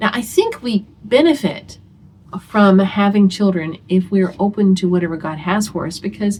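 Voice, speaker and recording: A woman speaks at a moderate pace and medium pitch, somewhat breathy, with ordinary pitch variation. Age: 60s. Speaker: homeschooling mother and video host. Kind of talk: casual talk to camera. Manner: conversational, with many fillers.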